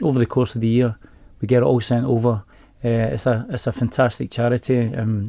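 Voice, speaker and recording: Someone with a Glaswegian accent and a dark, mellow tone talks at a fairly quick pace with fairly even intonation, in a very clean recording with a silent background. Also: man. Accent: Glaswegian Scottish. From Glasgow, Scotland. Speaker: bank employee. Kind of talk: radio interview. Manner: halting.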